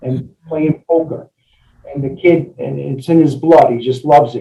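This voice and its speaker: A somewhat breathy man at a fairly slow pace, with fairly even intonation. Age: 60s. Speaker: engineer and novelist. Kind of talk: interview. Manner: halting, many fillers.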